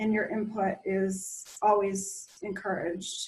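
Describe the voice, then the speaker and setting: The speaker sounds somewhat breathy and talks at a very slow pace. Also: woman. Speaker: county planning staff presenter. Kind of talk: online meeting presentation.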